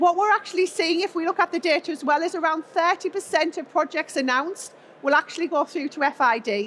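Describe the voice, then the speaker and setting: A woman talks at a fairly quick pace. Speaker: industry expert presenter. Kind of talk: conference talk.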